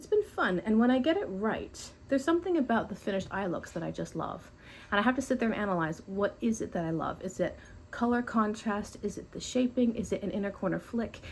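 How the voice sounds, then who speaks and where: Very fast, somewhat breathy speech with lively intonation, on a very clean recording with a silent background. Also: woman, fairly high pitch for a woman. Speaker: beauty YouTuber. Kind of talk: casual makeup tutorial talk to camera.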